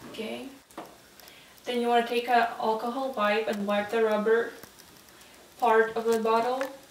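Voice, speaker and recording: Against noticeable background noise, a woman with a fairly high pitch speaks in a monotone, flat way at a moderate pace, leaving long, frequent pauses. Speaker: nursing student. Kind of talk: role-play patient teaching.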